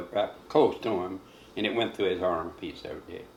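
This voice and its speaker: This man has a Kentucky accent. He talks at a moderate pace. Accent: Southern American, rural Kentucky. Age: 80s+. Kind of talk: interview answer. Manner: rambling, conversational.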